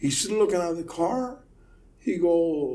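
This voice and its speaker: Lively intonation rings out with audible room echo. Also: man. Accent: Puerto Rican. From Puerto Rico. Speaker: car audio installer. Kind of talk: casual chat. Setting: studio, recorded in person. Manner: animated.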